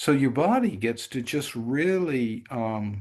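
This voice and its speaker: A man speaks against a quiet background. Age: 70s. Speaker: meditation teacher. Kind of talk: talk on spiritual practice.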